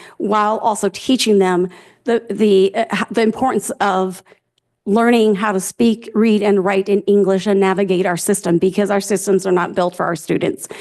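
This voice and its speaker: The loudness stays very even, with fairly even intonation and a moderate pace. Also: woman. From immigrated to US at age six. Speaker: school district administrator. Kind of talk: board meeting response. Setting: board meeting. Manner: hesitant, many fillers.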